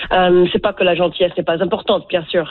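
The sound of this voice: A woman is speaking. Her pitch sits fairly low.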